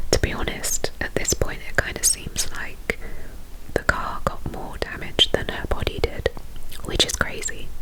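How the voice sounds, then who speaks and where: With noticeable noise behind her, a woman speaks in a whisper. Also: fairly slow pace. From England. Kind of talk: ASMR true crime storytelling. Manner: whispered.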